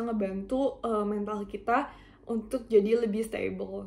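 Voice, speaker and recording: A woman talks at a fairly high pitch with monotone, flat intonation. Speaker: university student. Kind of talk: self-introduction presentation. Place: home room. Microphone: webcam.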